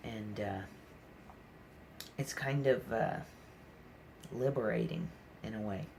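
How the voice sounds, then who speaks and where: A man speaks at a medium pitch with ordinary pitch variation, at a fairly slow pace broken by long, frequent pauses. The room echo is audible and background noise is noticeable. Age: 20s. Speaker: vlogger talking about mental health. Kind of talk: personal vlog monologue. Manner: halting, many fillers.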